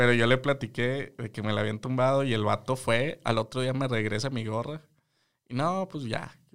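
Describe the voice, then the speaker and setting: Medium in pitch, a man speaks at a moderate pace with ordinary pitch variation in a plain, everyday voice. The recording is very clean, with a silent background. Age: 20s. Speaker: podcast co-host, psychologist. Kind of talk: casual chat.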